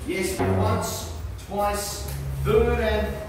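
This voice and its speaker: A man with an Australian accent is heard through strong room echo and noticeable background noise. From Australia, Sydney. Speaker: auctioneer. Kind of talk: rapid-fire auction calling, rattling off bid increments and going-once-twice countdowns. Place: office.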